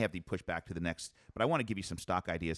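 A man talking very fast in a confident, upbeat tone, with a dry, close sound and no echo. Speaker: radio host and financial advisor. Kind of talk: radio show banter about markets; at 14:49 a polished infomercial ad read. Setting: radio studio, several people around a table. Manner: confident, conversational, brisk; in the ad smooth, upbeat, pitchy salesman delivery.

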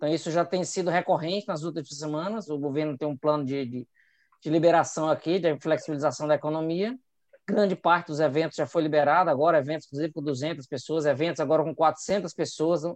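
An unremarkable speaking voice from a man, fairly high in pitch, at a fairly quick pace with fairly even intonation over a quiet background. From Brazil, Ceará. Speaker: epidemiologist. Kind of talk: casual chat.

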